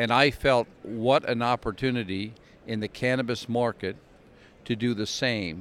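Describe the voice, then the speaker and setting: He has a normal speaking voice at a medium pitch. His intonation stays fairly even. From Canada, Glace Bay, Nova Scotia. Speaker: cannabis company executive. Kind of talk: interview. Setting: trade expo.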